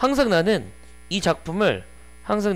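A man talks at a fairly slow pace. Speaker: English teacher. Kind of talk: lecture. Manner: casual and conversational. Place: classroom. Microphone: headset.

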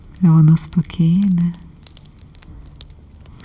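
Over noticeable background noise, a soft-spoken woman with a fairly low pitch talks in a calm tone at a very slow pace. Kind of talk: ASMR relaxation and support talk. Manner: calm, soft-spoken.

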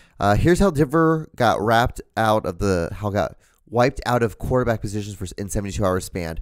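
Against a quiet background, a man with a plain, everyday voice talks at a moderate pace and fairly low pitch, with lively intonation and a dry sound with no echo. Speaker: comedy podcast co-host. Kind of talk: casual chat. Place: home room. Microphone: studio mic.

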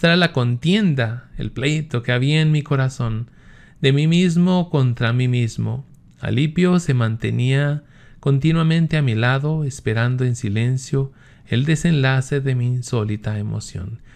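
At a fairly slow pace, a man speaks with medium pitch and ordinary pitch variation. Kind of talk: religious teaching and commentary, reading aloud from a text; at 39:25 passionate sermon-like reading of confessions with exhortation to the audience. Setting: home recording with screen images, online video. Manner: earnest, devout. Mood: calm, reverent. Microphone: webcam.

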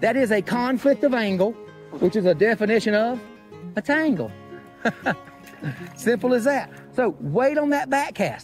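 With faint music in the background, a high-pitched man in an Appalachian accent speaks at a moderate pace, with long, frequent pauses. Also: lively intonation. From Appalachian North Carolina. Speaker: fly fishing instructor. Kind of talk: casual instructional talk to camera. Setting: outdoors, by a river, windy. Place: waterside.

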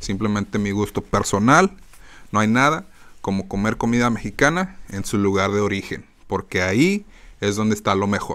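A man's fairly low voice at a moderate pace, animated in tone, with ordinary pitch variation. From Mexican-American, born in Phoenix, raised partly in Mexico; Arizona. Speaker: podcast host. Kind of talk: casual monologue. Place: home room. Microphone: studio mic.

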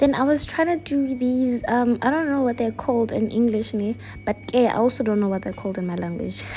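Music plays in the background as the speaker goes at a moderate pace. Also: woman. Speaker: vlogger. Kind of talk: casual vlog chat. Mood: relaxed, playful. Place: home room. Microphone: phone near.

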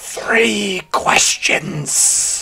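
The put-on character voice is raspy. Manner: spirited, eerie.

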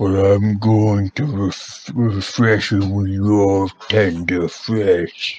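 A man speaks in a put-on character voice at a very slow pace. His pitch sits fairly low. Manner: growling, menacing.

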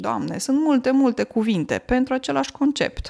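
A woman speaks in an unremarkable speaking voice, pitched fairly high. Her pace is fairly slow, with lively intonation. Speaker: language teacher podcaster. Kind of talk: casual monologue.

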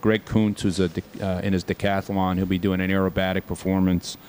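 This man talks at a moderate pace with a fairly low pitch. Light background noise sits under his voice. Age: 60s. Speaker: air show representative. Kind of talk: interview. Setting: outdoors. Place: meeting room. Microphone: studio mic.

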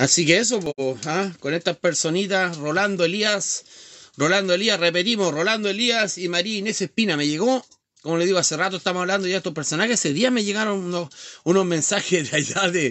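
Against a quiet background, a man with a high pitch and ordinary pitch variation speaks at a fairly quick pace. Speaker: live streamer. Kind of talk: casual live stream rant. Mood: mocking, heated, laughing. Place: home room. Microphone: phone near.

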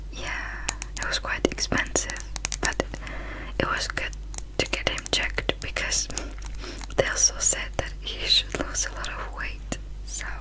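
Speaking at a fairly slow pace, a woman leaves long, frequent pauses. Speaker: beauty vlogger. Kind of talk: casual vlog chat. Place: home room. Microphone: phone near.

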